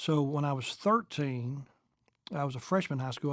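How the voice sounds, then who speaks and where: The very clean recording has a silent background. A man with a Kentucky accent talks at a very fast pace and a fairly high pitch. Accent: Southern US (Kentucky). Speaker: evangelist and church planter. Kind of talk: interview testimony.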